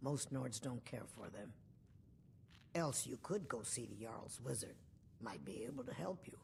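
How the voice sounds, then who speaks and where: In a put-on character voice with a low-to-middle pitch, the speaker goes at a moderate pace with long, frequent pauses over clear background noise. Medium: video game. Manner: curt, matter-of-fact.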